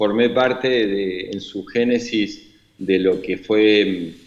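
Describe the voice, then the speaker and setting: Fairly low male pitch in a Rioplatense accent, a man with fairly even intonation. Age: 60s. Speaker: imprisoned former government official. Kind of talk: interview. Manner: halting, many fillers.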